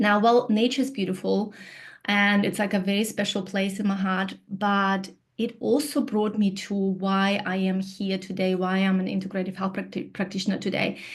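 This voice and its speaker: A woman at a medium pitch and moderate pace, somewhat breathy, with fairly even intonation. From Kyrgyzstan. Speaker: integrative health practitioner. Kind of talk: presentation.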